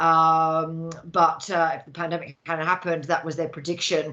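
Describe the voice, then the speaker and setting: A woman speaks with a bright, sharp tone at a fairly low pitch. Her intonation is monotone and flat. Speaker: recruitment business founder, guest speaker. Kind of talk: business presentation. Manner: fast; hesitant, many fillers.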